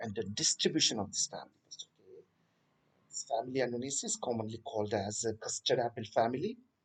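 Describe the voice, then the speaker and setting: Very fast, somewhat breathy speech from a man. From Telangana, India. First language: Telugu. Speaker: botany teacher. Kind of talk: lecture. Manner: hesitant, many fillers.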